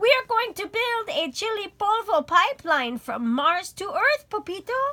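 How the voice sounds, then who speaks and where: In a put-on character voice, a woman speaks at an extremely high pitch and moderate pace, with very wide pitch swings. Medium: read story.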